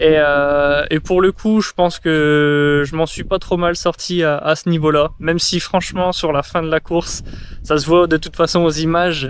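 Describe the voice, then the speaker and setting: A man speaks fairly slowly in a fairly high pitch with a monotone, flat delivery over noticeable background noise. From northern France, Pas-de-Calais. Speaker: vlogger, trail runner. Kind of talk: casual vlog debrief. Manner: hesitant, many fillers.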